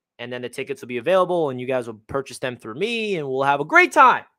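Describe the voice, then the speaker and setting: A man with a Long Island accent and a bright, sharp tone. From Long Island, New York. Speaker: sports YouTuber. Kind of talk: live stream chat. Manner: casual, conversational.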